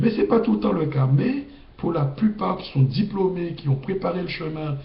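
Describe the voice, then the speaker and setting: Noticeable background noise runs under the recording. A man speaks with audible room echo. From Guadeloupe, Capesterre-Belle-Eau. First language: Guadeloupean Creole (speaking French). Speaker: video blogger. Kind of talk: casual monologue. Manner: halting.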